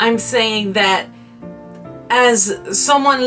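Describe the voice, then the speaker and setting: Music plays in the background as a woman speaks very slowly. She has a French accent and lively intonation. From France. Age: 20s. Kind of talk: personal story told to camera.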